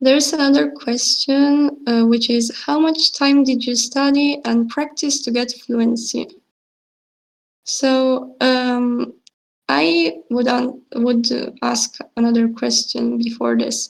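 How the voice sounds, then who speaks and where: Speaking very slowly with long, frequent pauses, a woman keeps a high pitch and fairly even intonation. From Italy. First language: Italian and Russian. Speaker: student presenter. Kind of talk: Q&A session. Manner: halting.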